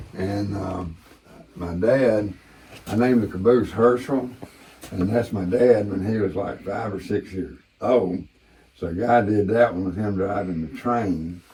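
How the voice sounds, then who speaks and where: With a Southern US accent, a man talks at a fairly slow pace in a fairly low pitch and fairly even intonation. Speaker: war veteran and former ranch manager. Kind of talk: casual tour and storytelling. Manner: relaxed with frequent fillers.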